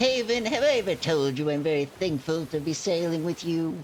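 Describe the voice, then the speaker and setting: Someone uses a put-on character voice at a middle pitch and moderate pace. Clear background noise runs underneath. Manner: exaggerated, comical.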